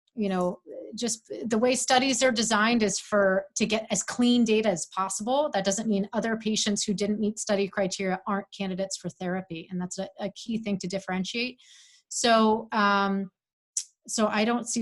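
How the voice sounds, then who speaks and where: A woman talks at a fairly quick pace in a somewhat breathy voice with fairly even intonation. The recording is very clean, with a silent background. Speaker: physician. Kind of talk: expert Q&A answers. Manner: halting, many fillers.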